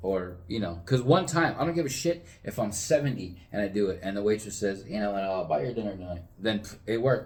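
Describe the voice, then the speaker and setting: Talking fairly quickly with hardly any pauses, a man with an American accent makes very wide pitch swings amid audible room echo. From Southern California. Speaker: podcast co-host. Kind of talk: casual chat.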